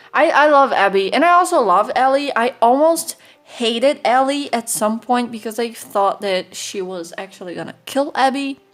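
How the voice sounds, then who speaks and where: Her tone animated, a woman with a non-native accent speaks at a high pitch with very wide pitch swings. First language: not English. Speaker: artist and YouTuber. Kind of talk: casual voiceover commentary.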